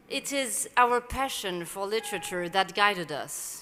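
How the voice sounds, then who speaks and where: A woman speaks in a French accent at a fairly slow pace, her tone bright and sharp. Her medium pitch shows ordinary variation. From Morocco. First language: Arabic and French. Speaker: novelist, prize jury chair. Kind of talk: prepared speech at award ceremony. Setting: event venue with live audience. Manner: formal.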